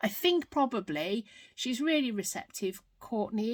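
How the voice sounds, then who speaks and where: Recorded very cleanly against a silent background, a woman talks at a moderate pace with a British accent. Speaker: craft vlogger. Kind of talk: unboxing video, casual. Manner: loud; unscripted, with ums and errors.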